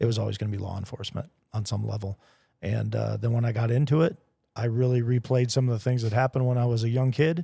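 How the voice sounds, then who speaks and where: Delivered at a very fast pace, the somewhat breathy voice has a dark, mellow tone and fairly even intonation, recorded very cleanly over a silent background. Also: man, medium pitch for a man. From Kentucky. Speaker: podcast host, former police officer. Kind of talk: casual chat.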